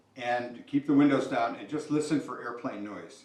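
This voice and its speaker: At a fairly quick pace, a man speaks with audible room echo and noticeable background noise. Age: 60s. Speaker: company founder giving keynote. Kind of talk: keynote speech. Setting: talk to company employees. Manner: conversational, many fillers.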